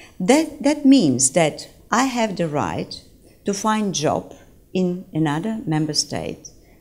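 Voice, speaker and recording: Lively intonation marks this woman's very slow speech, which has audible room echo. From Bulgaria. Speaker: former government official, lecturer. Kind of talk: lecture. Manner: halting, many fillers.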